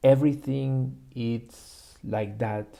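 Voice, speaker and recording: Dark and mellow in tone, the voice moves at a very slow pace with fairly even intonation. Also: man. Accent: Spanish. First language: Spanish. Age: 20s. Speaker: YouTuber practicing English. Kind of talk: personal vlog monologue. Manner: halting, with many fillers.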